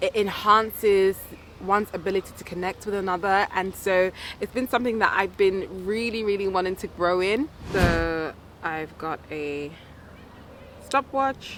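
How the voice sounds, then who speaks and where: Noticeable background noise sits behind a woman's medium-pitched voice. She speaks at a moderate pace with ordinary pitch variation. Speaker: self-development vlogger. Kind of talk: vlog.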